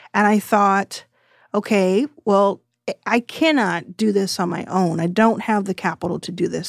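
This woman has an American accent and a medium pitch with ordinary variation. The recording is very clean and silent behind her, with dry, close sound and no echo. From Texas. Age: 30s. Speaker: venture capital investor. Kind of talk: interview.

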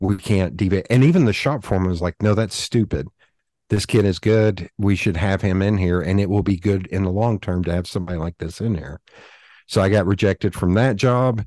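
A man with a Southern US accent speaks fairly quickly at a fairly low pitch, his tone dark and mellow. The sound is dry and close with no echo, the background is quiet, and his pitch varies in an ordinary way. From US South. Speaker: designer and podcaster. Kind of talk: casual interview.

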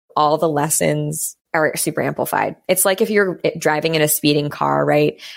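Speaking at a moderate pace with hardly any pauses and very even loudness, a woman is heard in a very clean recording with a silent background. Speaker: wellness business founder. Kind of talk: casual chat.

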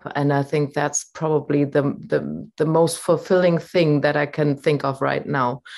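Over a quiet background, a woman with a German accent speaks in a very deep, low pitch with ordinary pitch variation. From Germany. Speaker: voice coach. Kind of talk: casual interview. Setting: video call.

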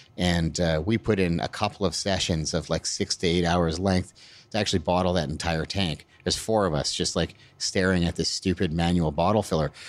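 Speaking with a Canadian accent, a man has a very deep, low pitch and fairly even intonation. The recording is very clean with a silent background. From Alberta, Canada. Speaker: brewery owner and head brewer. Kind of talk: interview. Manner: halting, with many fillers.

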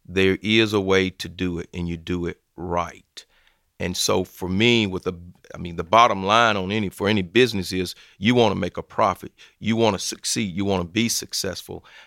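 Very deep, low male voice in a Southern US accent, bright and sharp in tone, with fairly even intonation at a moderate pace, dry and close with no echo in a very clean recording with a silent background. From US South, Georgia/Alabama border. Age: 50s. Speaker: football chaplain and former pro player. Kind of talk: interview testimony.

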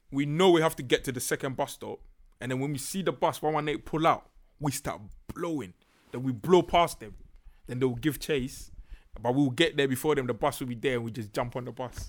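A man with a Ghanaian accent, fairly high in pitch with ordinary pitch variation, at a fairly quick pace on a very clean recording with a silent background. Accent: Ghanaian, largely unchanged. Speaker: podcaster. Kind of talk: casual chat.

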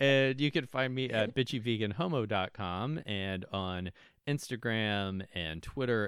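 A man with a plain, everyday voice, fairly low pitch, lively intonation and moderate pace, on a very clean recording with a silent background. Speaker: podcast host. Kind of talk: casual chat. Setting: same room, socially distanced.

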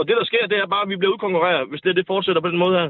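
The man speaks at a high pitch. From North Jutland, Denmark. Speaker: bricklayer and union member. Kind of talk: political debate. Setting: phone call. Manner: halting, repeats words.

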